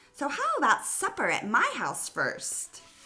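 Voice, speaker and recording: Someone performs a put-on character voice at a moderate pace. The voice is raised and projected. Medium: read story. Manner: eager.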